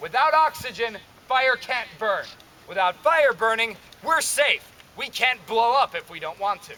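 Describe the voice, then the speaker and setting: A man talks in a raised, projected voice at an extremely high pitch, with lively intonation. His pace is fairly slow, and his loudness swings widely. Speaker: historical fort guide. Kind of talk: live demonstration to visitors.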